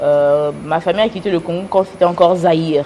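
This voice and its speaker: Over noticeable background noise, a woman talks at a fairly quick pace in a fairly low pitch with fairly even intonation. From United States. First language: English (speaking French). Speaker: businesswoman and influencer. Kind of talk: interview. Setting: TV studio. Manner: hesitant.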